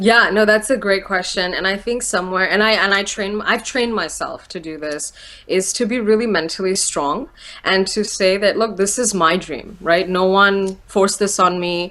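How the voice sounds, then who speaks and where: With a bright, sharp tone, a woman talks using ordinary pitch variation. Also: medium pitch for a woman. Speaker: motivational speaker. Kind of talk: interview. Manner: fast.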